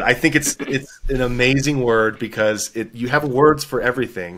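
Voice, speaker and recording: A man with a Texan accent speaks in a bright, sharp tone. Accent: Texan American English. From Texas. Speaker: author. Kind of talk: interview.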